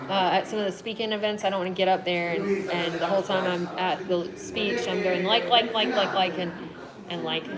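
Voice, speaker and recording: The voice carries a Southern US accent and moves at a fairly quick pace with fairly even intonation. Audible room echo and noticeable background noise fill the recording. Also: woman, medium pitch for a woman. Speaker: travel vlogger and hiker. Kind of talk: live Q&A stream. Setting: live video stream, TV noise in background. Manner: frequent filler 'like'.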